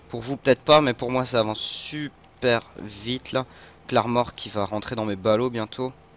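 Amid noticeable background noise, a man talks at a fairly slow pace, his medium pitch carried by fairly even intonation. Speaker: gaming youtuber. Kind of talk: gameplay commentary. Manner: halting.

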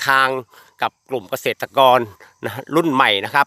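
A man's voice, bright and sharp in tone, with a dry, close sound and no echo. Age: 50s. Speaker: durian farmer promoting fertilizer. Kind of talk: product testimonial video. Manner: repetitive, informal.

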